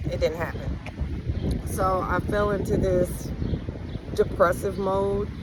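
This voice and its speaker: A woman is heard over noticeable background noise. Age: 40s. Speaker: spiritual vlogger. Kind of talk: personal testimony. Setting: outdoors. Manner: casual, with frequent ums.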